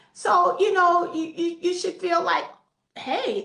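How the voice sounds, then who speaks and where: A woman speaks at a fairly slow pace. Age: 80s+. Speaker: network marketing distributor. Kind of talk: interview.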